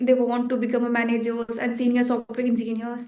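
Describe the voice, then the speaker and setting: A woman with a Bihar accent speaks at a high pitch. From India, Bihar. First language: Bhojpuri. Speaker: software engineer. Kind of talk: interview. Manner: halting.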